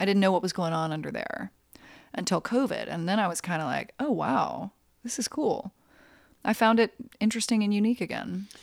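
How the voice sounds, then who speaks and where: A woman with an American accent uses lively intonation and vocal fry. She leaves long, frequent pauses. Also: medium pitch for a woman, fairly quick pace, very clean recording, silent background. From US South, North Carolina. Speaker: journalist and author. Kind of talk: interview conversation. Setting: at guest's home.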